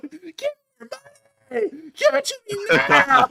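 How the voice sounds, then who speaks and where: Shouting in a high-pitched, put-on character voice, someone speaks at a moderate pace. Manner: yelling, aggressive.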